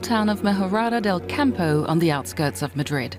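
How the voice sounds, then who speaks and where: Over music in the background, a woman with a fairly low voice talks at a fairly quick pace, her pitch swinging very widely. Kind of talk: news report narration.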